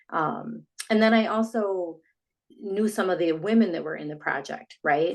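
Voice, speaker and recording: Talking at a moderate pace, this woman has an unremarkable speaking voice and ordinary pitch variation. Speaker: sound therapy business founder. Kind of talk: casual interview.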